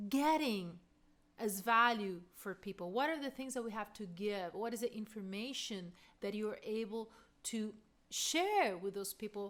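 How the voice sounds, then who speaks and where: A woman with a non-native accent talks at a fairly slow pace. Her voice sits fairly high and shows ordinary pitch variation. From Argentina. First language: Spanish. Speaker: voice coach. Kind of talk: casual talk to camera.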